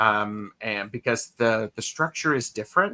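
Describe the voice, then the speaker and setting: On a very clean recording with a silent background and a dry, close sound with no echo, a man speaks at a fairly slow pace in a bright, sharp tone with ordinary pitch variation. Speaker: tarot reader. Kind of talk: live-streamed casual chat, reading viewer comments.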